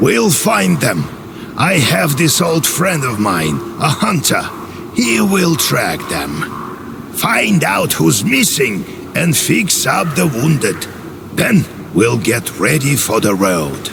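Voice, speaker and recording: Over loud background noise, a man uses a put-on character voice. He speaks very slowly at a medium pitch. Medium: machinima. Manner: brusque, commanding.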